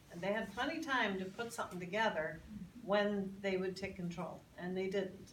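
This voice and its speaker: With an American accent, a woman talks at a moderate pace in a medium pitch with fairly even intonation, over noticeable background noise and audible room echo. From Northern Ireland, Belfast. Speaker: congressional candidate. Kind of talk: Q&A at public forum. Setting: public meeting with audience. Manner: halting, many repeated words.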